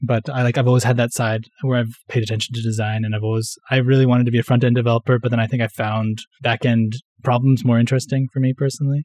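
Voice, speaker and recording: Dry and close with no echo, a man's medium-pitched voice with a Western Canadian accent moves at a very fast pace in a monotone, flat intonation. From Canada, Vancouver (west coast). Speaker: software developer. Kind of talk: casual interview chat.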